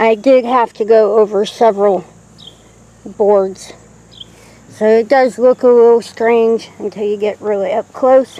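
A woman talks at a fairly slow pace in a monotone, flat delivery, leaving long, frequent pauses, with a dry sound and no echo. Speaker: homestead vlogger. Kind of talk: casual vlog chat. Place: garden. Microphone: phone near.

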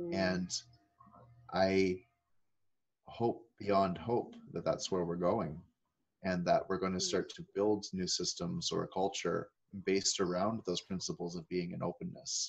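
Long, frequent pauses in a Maritime Canadian accent. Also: man, fairly slow pace. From Nova Scotia, Canada (Annapolis Valley); Nova Scotia. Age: 30s. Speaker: transformation speaker; speaker. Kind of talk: interview. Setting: video call. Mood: reflective, earnest. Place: home room. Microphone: webcam.

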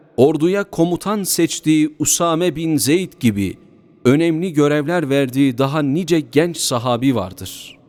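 Someone speaks at a fairly slow pace over music in the background. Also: man, fairly high pitch for a man, ordinary pitch variation. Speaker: imam / preacher delivering a mosque sermon. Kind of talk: Turkish sermon body addressed to the congregation.

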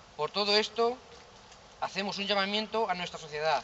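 High-pitched male voice with ordinary pitch variation and light background noise. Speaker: manifesto reader at a vigil. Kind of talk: public reading of a statement. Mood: solemn, serious. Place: street. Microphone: camera far.

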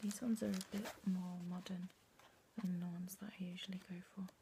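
A soft-spoken woman whispers at a moderate pace. Noticeable background noise sits behind her. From UK. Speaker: collector. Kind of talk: casual talk to camera. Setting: bedroom. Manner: soft-spoken, whispered. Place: home room. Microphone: phone near.

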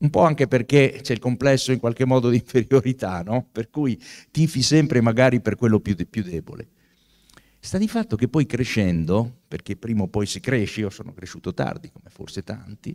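A man speaks at a moderate pace with ordinary pitch variation and big swings in loudness against a quiet background. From Italy. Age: 60s. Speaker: author and professor; professor. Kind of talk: book talk. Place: hall. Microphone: handheld.

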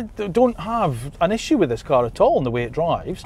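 With noticeable background noise behind him, a man speaks in very wide pitch swings. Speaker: car reviewer. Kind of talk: road test review, scripted-style presenting. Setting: in a car, driving.

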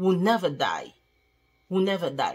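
A woman speaks with a French accent. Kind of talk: testimony. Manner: halting.

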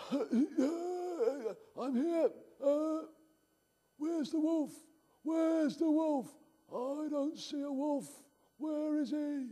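A man uses a cartoonish character voice at an extremely high pitch. He talks very slowly, with long, frequent pauses. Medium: puppet show.

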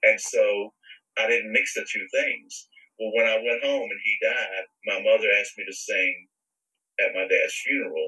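Speaking at a moderate pace, a man talks in a Southern US accent. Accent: Southern American. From US South, Virginia. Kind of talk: interview testimony.

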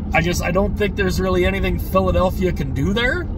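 A man in a dry sound with no echo, with noticeable background noise. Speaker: hockey fan vlogger. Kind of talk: casual vlog chat. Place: car. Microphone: phone near.

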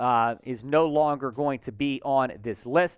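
A man talks with fairly even intonation. The sound is dry with no echo, and the background is quiet. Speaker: sports show host. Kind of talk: news commentary. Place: studio. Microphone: headset.

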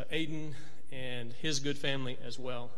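A man speaks in a fairly high pitch with fairly even intonation. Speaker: preacher. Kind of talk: church announcements and devotional. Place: church. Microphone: podium.

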